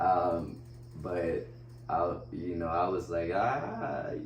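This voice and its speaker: A man with a Spanish accent speaks at a very deep, low pitch amid noticeable background noise and audible room echo. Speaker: wheelchair basketball player. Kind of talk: casual interview. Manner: casual, halting with fillers.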